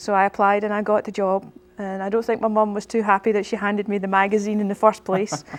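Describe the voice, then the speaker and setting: A woman talks very fast in a Scottish accent. Her medium pitch stays monotone, with flat intonation. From Scotland, Irvine (Ayrshire). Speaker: pastor. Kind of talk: interview. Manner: halting, with frequent fillers.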